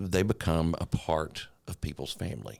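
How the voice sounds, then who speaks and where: A man speaks very deep and low with a slight Eastern Kentucky accent. The recording is very clean, with a silent background. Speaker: TV meteorologist. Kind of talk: casual chat.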